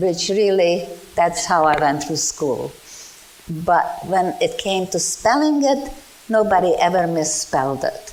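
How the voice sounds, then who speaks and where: A woman with a Hungarian accent speaks fairly slowly at a fairly low pitch with very wide pitch swings, amid noticeable background noise and audible room echo. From Czechoslovakia/Hungary, emigrated to US as teen. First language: Czech, then Hungarian. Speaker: Holocaust survivor. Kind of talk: testimony. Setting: museum talk with audience, microphone. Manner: loud.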